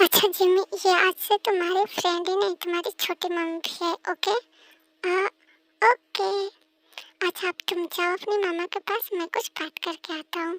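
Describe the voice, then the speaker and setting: Using a put-on character voice at an extremely high pitch, a woman speaks at a moderate pace with fairly even intonation, recorded with a dry, close sound and no echo. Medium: read story. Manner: casual, teasing.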